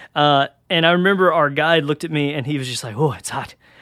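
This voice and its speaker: A fairly high-pitched man with a Southern US accent, in a very clean recording with a silent background. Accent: Southern US (Georgia). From Georgia, US South. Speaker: college pastor. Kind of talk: sermon-style podcast talk. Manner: casual, conversational.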